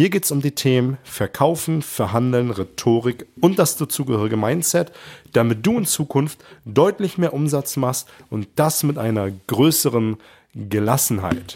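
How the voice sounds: A man with a slightly mellow tone talks at a moderate pace with lively intonation.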